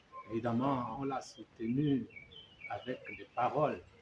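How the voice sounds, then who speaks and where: Speaking very slowly at a fairly high pitch, a man is heard over noticeable background noise. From Gabon. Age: 70s. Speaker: opposition politician. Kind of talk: interview. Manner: halting.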